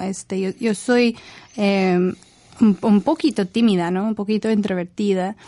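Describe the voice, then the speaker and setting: The woman's tone is dark and mellow, at a medium pitch with ordinary pitch variation. She speaks with an English accent. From northern England, Leeds. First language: English (speaking Spanish). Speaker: university professor. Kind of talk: radio interview. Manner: halting, many fillers.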